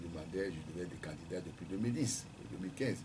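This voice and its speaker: Against noticeable background noise, a man speaks at a moderate pace in a somewhat breathy voice. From Togo, Lacs prefecture. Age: 60s. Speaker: presidential candidate, economist. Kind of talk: radio interview. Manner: hesitant, many fillers. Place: studio. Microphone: studio mic.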